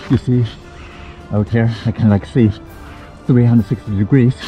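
Over faint music in the background, a man speaks at a moderate pace with a dry sound and no echo. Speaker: outdoor adventure vlogger. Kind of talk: casual vlog chat.

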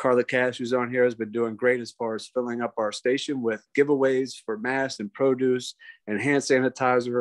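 Against a quiet background, a man speaks in a monotone with flat intonation. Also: moderate pace. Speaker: police major. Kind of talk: briefing. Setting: video call. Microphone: video call.

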